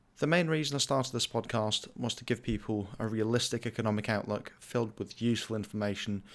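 Recorded very cleanly against a silent background, a man with an ordinary speaking voice talks at a fairly quick pace, keeping a medium pitch with ordinary pitch variation. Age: 20s. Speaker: finance podcast host. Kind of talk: scripted monologue. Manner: formal.

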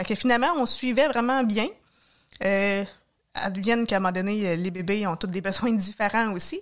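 On a very clean recording with a silent background, a woman talks at a moderate pace. Her pitch is medium and varies an ordinary amount. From Quebec, Mauricie (Trois-Rivières area). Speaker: nurse and hiker. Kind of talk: casual interview.

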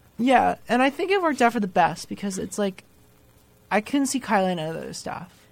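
Lively intonation and vocal fry mark this woman's American accent as she speaks at a fairly quick pace. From New Jersey. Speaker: college student, resident assistant. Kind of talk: casual chat. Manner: animated, jokey.

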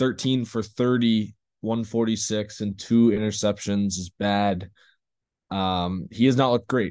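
A man with an ordinary speaking voice, fairly low in pitch, at a fairly slow pace against a quiet background. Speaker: sports podcast co-host. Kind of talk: casual NFL power rankings talk.

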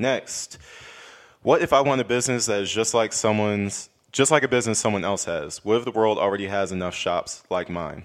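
Animated in tone, a man talks at a fairly low pitch with ordinary pitch variation. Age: 20s. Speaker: morning show host, military veteran. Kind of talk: casual chat.

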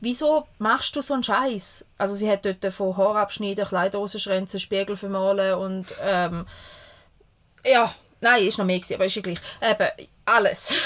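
Medium pitch and moderate pace from a woman with a plain, everyday voice. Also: ordinary pitch variation. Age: 30s. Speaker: podcast co-host, mother. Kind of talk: casual chat. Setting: caravan studio.

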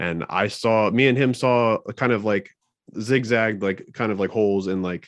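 A man with a normal speaking voice and fairly even intonation. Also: quiet background. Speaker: podcaster. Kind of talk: casual chat.

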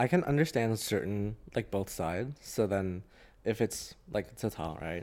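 With an American accent, a man speaks at a fairly low pitch. His intonation is lively. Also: moderate pace. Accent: international, sounds American to some. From Hong Kong. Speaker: graduate student. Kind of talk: casual chat.

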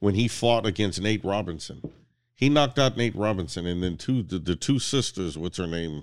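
This man has a plain, everyday voice, fairly low in pitch with lively intonation at a moderate pace, on a very clean recording with a silent background. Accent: American. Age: 50s. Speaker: podcast guest. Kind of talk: casual chat.

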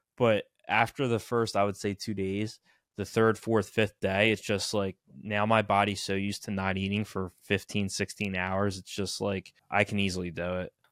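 A moderate pace and monotone, flat intonation in an American accent, with a dry, close sound with no echo and a very clean recording on a silent background. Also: man, fairly low pitch for a man. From New Jersey. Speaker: podcast host. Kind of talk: casual chat.

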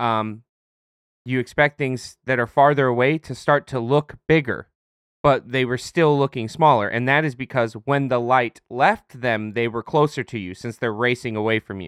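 A man's unremarkable speaking voice, medium in pitch, at a moderate pace with ordinary pitch variation, the sound dry and close with no echo over a quiet background. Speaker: podcast co-host, retail worker. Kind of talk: casual chat.

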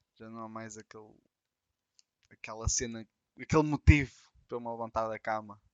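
In a European Portuguese accent, the speech runs at a fairly quick pace with fairly even intonation, big swings in loudness, and long, frequent pauses. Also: man, medium pitch for a man. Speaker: podcast co-host. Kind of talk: casual chat.

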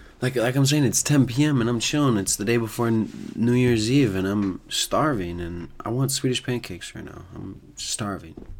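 A man of medium pitch has a plain, everyday voice, with ordinary pitch variation and big swings in loudness. He talks at a moderate pace with hardly any pauses. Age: 20s. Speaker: solo podcaster. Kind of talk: casual monologue. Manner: casual.

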